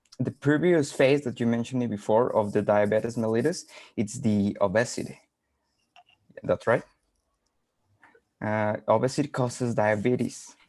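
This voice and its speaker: A man with a Spanish accent talks at a moderate pace, his pitch medium with ordinary variation. He leaves long, frequent pauses. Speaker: webinar participant. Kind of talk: casual chat. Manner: halting.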